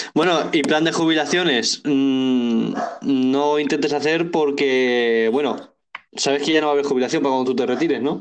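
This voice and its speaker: Amid audible room echo, a man with a fairly high pitch talks with fairly even intonation and very even loudness. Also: moderate pace. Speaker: podcast co-host. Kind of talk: casual chat.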